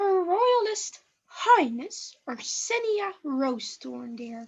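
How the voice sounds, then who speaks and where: Using a put-on character voice, a woman speaks at an extremely high pitch with very wide pitch swings. Her pace is very slow. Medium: stage play. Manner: sweet, condescending.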